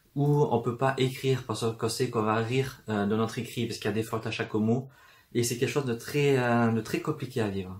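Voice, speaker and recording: Somewhat breathy, a man speaks at a medium pitch in a flat monotone. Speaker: booktuber. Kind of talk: casual talk to camera. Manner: fast.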